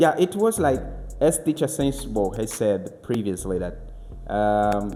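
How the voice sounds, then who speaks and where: Speaking fairly slowly in a Congolese accent, a man uses a fairly low pitch and lively intonation. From Angola, Kikongo-speaking north. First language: Kikongo. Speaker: language teacher. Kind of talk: podcast interview. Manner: halting.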